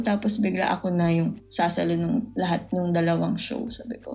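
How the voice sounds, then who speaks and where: A woman speaking at a moderate pace over noticeable background noise. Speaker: poet and podcast guest. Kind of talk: casual chat.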